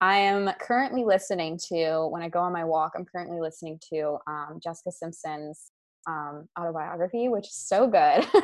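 A woman with a Mid-Atlantic accent speaks at a moderate pace in a fairly low pitch with ordinary variation. Her loudness swings widely. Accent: American, Mid-Atlantic. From US, Maryland. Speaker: sales and marketing coach. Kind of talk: casual interview.

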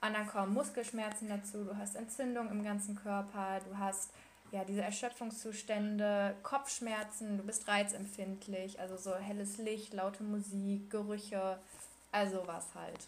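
A woman at a fairly slow pace, medium-pitched and monotone, flat in intonation, with noticeable background noise. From Ruhr area, Germany. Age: 20s. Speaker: medical student. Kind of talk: personal testimony in interview. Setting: Skype call.

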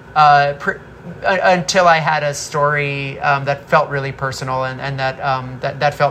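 A woman speaks in a very deep, low voice with fairly even intonation, over noticeable background noise. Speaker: film director. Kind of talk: interview.

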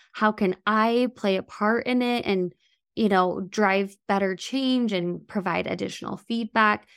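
Over a very clean recording with a silent background, a woman speaks at a fairly slow pace in a plain, everyday voice. Her pitch is medium and her intonation fairly even. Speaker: podcast host. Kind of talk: interview conversation.

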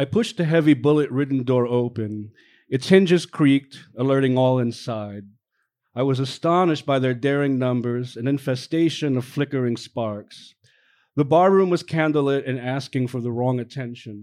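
Against a quiet background, a man in a normal speaking voice talks at a moderate pace with a medium pitch and ordinary pitch variation. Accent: American. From the Bronx, New York. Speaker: novelist. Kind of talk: reading aloud. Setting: stage with audience.

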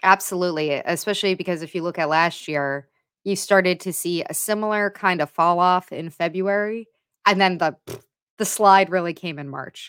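Heard in a very clean recording with a silent background, a plain, everyday voice keeps a moderate pace. Its intonation is fairly even, while its loudness swings widely. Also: woman, fairly low pitch for a woman. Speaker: sports podcast host. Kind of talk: casual chat.

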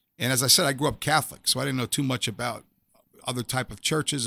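A man talks at a very fast pace in a New York accent, his tone bright and sharp. The recording is very clean with a silent background, and the sound is dry and close with no echo. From New York City (Staten Island). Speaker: former police officer turned chaplain and author. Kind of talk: testimony.

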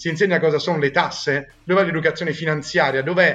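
The man's voice sits fairly high in pitch. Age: 20s. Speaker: founder of a student consulting network. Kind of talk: podcast interview. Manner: hesitant with fillers.

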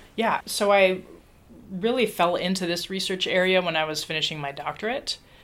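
A woman with an American accent and an ordinary speaking voice, medium pitch, ordinary pitch variation and a moderate pace. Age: 40s. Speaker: political scientist and professor. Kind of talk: interview.

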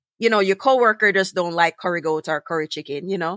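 A woman's medium-pitched voice with a Jamaican accent, bright and sharp in tone, with ordinary pitch variation, dry and close with no echo, in a very clean recording with a silent background. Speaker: podcast host. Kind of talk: casual interview conversation.

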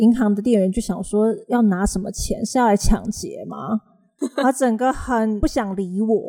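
A woman's fairly high, somewhat breathy voice with a dark, mellow tone, ordinary pitch variation and a fairly slow pace. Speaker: English teacher and podcast host. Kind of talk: casual chat.

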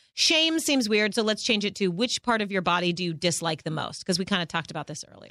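A woman's medium-pitched voice with a bright, sharp tone and lively intonation, in a dry, close sound with no echo and a very clean recording with a silent background. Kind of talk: casual chat.

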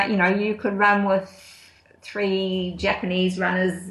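Amid noticeable background noise, a woman with a New Zealand accent speaks at a fairly slow pace with a medium pitch. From New Zealand, Auckland and Wellington. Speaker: ultra runner. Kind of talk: casual interview. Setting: Skype call.

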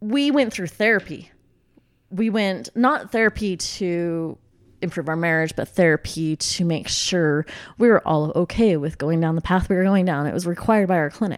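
A plain, everyday voice moves at a moderate pace with lively intonation in a very clean recording with a silent background. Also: woman, fairly low pitch for a woman. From Utah. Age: 30s. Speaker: interior designer. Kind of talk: testimony.

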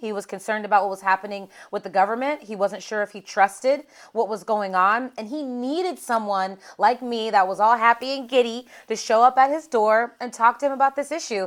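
A woman with an American accent and an unremarkable speaking voice, fairly high in pitch with ordinary pitch variation and big swings in loudness, at a fairly quick pace on a very clean recording with a silent background. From Pittsburgh, Pennsylvania. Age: 30s. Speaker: political strategist. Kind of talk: casual interview.

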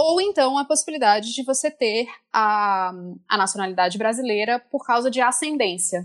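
Against a quiet background, a woman talks at a moderate pace with lively intonation and a fairly high pitch. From France, to Brazilian parents. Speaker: international law expert. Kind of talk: expert explanation. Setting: remote call.

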